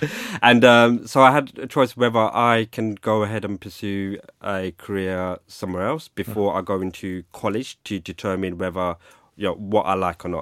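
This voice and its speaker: On a very clean recording with a silent background, a man with a London accent speaks at a moderate pace, with a dry, close sound and no echo. He has a fairly low pitch and ordinary pitch variation. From London (Hackney). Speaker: cybersecurity risk executive. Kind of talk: interview conversation. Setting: studio. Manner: hesitant, many fillers.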